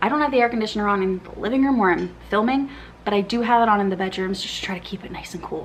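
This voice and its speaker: There is noticeable background noise behind this woman. Her pitch is medium, with ordinary variation. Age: 30s. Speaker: book content creator. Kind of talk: casual vlog chat. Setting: filming at home in living room.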